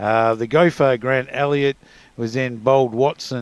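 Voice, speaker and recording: A man speaks with an Australian accent at a fairly slow pace. His intonation stays fairly even. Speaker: cricket commentator. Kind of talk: live commentary.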